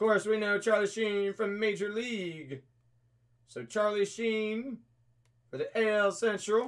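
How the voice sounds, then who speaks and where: A high-pitched man at a fairly slow pace, with fairly even intonation. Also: quiet background. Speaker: card break host. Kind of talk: live stream commentary. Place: shop. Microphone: webcam.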